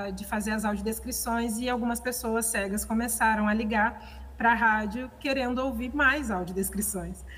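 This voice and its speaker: A woman's bright, sharp, fairly high voice with hardly any pauses, in audible room echo. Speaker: conservator-restorer and audio describer. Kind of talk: seminar talk. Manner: halting, many fillers.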